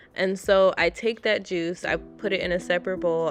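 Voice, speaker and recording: A woman talks at a fairly slow pace over music in the background. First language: Haitian Creole. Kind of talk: casual cooking voiceover.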